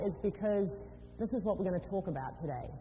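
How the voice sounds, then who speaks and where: There is audible echo from the room. A woman is the one talking. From New Zealand and UK. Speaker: business executive, motivational speaker. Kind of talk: motivational talk. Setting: stage with audience. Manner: animated.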